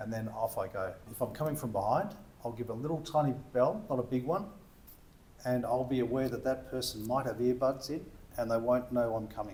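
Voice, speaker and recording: Speaking at a fairly quick pace, a man uses ordinary pitch variation in an Australian accent. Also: medium pitch for a man. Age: 60s. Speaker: e-bike shop owner. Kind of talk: casual interview chat.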